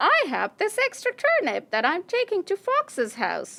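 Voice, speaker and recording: A cartoonish character voice, female-sounding and extremely high in pitch, with an excited tone and moderate pace. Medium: puppet. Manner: excited, bouncy.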